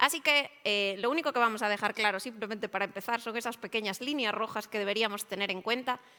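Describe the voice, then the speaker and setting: A woman's very fast, fairly high voice with a bright, sharp tone, on a very clean recording with a silent background. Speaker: IT service management consultant. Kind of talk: conference presentation.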